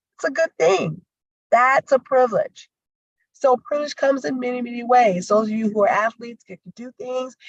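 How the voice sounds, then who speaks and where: A woman talks at a moderate pace in a high pitch, with an American accent. The sound is dry and close, with no echo. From US South. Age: 50s. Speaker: conflict resolution and DEI trainer. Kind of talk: livestreamed training talk. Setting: livestream over video call with screen share. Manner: animated.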